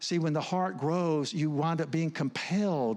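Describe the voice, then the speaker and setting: A man with a fairly high pitch talks at a fairly slow pace, his pitch varying in an ordinary way. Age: 60s. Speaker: counselor and speaker. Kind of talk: sermon. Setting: church. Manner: halting.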